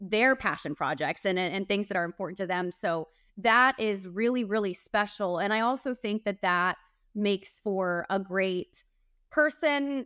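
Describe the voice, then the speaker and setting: A woman talks at a moderate pace with ordinary pitch variation. The sound is dry with no echo, and the background is quiet. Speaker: TV reporter guest. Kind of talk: interview answer. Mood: warm, enthusiastic. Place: home room.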